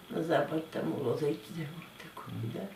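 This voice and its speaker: A woman with a Polesian accent talks at a moderate pace over noticeable background noise. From Pinsk district, Brest region, Belarus. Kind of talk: interview answer.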